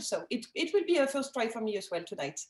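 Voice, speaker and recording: Speaking at a fairly quick pace, a woman with a French accent has a high-pitched voice. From France, Alsace. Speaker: winemaker. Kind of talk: casual chat. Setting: video call. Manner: halting, many fillers.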